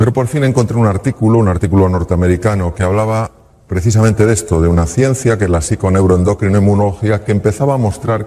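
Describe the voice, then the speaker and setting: A man speaks in an unremarkable speaking voice at a fairly low pitch. His pace is fairly quick, with ordinary pitch variation. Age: 60s. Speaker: public speaker, former surgeon. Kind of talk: talk to audience.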